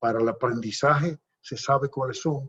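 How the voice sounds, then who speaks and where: At a moderate pace, a man with a medium pitch speaks in a somewhat breathy voice with fairly even intonation. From Dominican Republic, Puerto Plata province. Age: 70s. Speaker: politician. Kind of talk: interview. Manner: halting.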